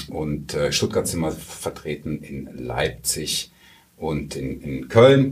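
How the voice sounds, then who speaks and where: A man is speaking. Background noise is noticeable. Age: 40s. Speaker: IT company sales director. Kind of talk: interview. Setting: studio. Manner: many hesitation fillers.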